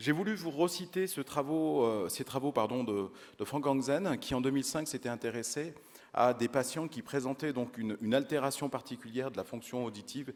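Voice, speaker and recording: With ordinary pitch variation, a man speaks at a moderate pace and a medium pitch. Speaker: audiology researcher. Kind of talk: conference lecture. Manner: hesitant, many fillers.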